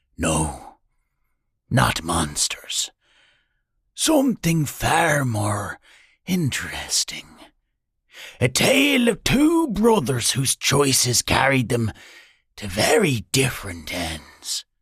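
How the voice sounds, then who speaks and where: Putting on a character voice, a man speaks at medium pitch and a very slow pace, leaving long, frequent pauses. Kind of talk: fireside storytelling. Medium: read story. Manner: low, even, conspiratorial.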